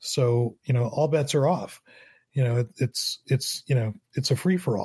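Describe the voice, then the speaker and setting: On a very clean recording with a silent background, a man speaks at a medium pitch and fairly slow pace, somewhat breathy, with very even loudness and ordinary pitch variation. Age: 50s. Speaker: photographer and former professor. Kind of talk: interview.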